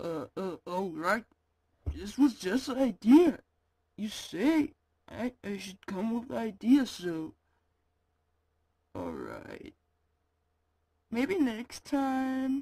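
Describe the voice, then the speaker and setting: In a cartoonish character voice with a fairly high pitch, the speaker goes at a very slow pace with long, frequent pauses. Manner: crude, blunt.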